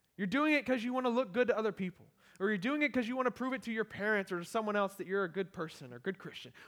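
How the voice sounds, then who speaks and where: A loud, very fast man with a high pitch, an animated tone, lively intonation and an American accent. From US small town. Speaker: pastor, church planter. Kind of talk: sermon. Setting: church.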